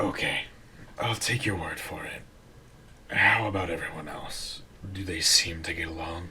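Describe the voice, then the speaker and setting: A man puts on a raspy character voice and talks at a moderate pace over clear background noise. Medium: audio drama. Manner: calm, formal.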